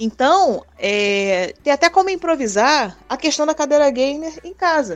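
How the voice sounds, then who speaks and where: With music in the background, a woman with a high pitch speaks at a fairly slow pace with hardly any pauses, making very wide pitch swings and big swings in loudness. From Brazil, Rio de Janeiro city. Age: 30s. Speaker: sports nurse. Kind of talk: interview. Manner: casual.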